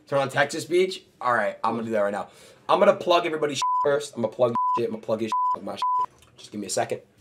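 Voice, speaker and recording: A man speaks at a very fast pace while loud background noise fills the clip. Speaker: streamer. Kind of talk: casual stream banter. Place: home room.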